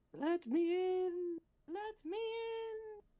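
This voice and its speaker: This is a put-on character voice, extremely high in pitch. It sounds squeaky. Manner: spooky.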